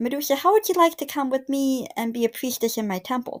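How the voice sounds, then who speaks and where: In a put-on character voice pitched high, a woman rattles along at a very fast pace in a very clean recording with a silent background. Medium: solo performance.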